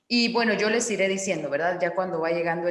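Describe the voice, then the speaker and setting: Medium pitch from a woman, with audible room echo. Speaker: forum moderator. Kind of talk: online panel discussion.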